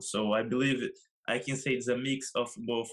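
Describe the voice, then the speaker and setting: A man with a Brazilian Portuguese accent at a moderate pace, fairly even in intonation, on a very clean recording with a silent background. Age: 20s. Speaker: professional soccer player. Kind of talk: interview. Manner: halting.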